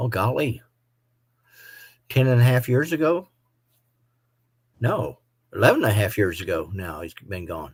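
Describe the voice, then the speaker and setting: On a very clean recording with a silent background, a somewhat breathy man at medium pitch talks at a moderate pace, with very wide pitch swings and long, frequent pauses. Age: 60s. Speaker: motorcycle vlogger. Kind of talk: live stream chat.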